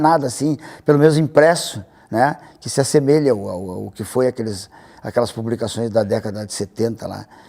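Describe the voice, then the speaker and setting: Lively in intonation and dark, mellow in tone, a man talks at a fairly quick pace in a very clean recording with a silent background. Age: 60s. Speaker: cartoonist. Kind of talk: interview. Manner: halting, frequent repetitions.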